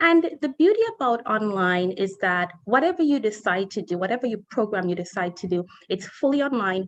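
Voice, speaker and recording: Speaking at a fairly quick pace with hardly any pauses, a woman with a Caribbean accent uses a fairly high pitch that swings very widely. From Saint Kitts and Nevis. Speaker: college admissions representative. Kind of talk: presentation.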